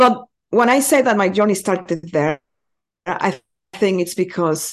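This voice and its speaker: Against a quiet background, a woman with a Spanish accent talks at a moderate pace and medium pitch, her intonation lively. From Mexico. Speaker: community building consultant. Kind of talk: podcast interview. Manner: animated.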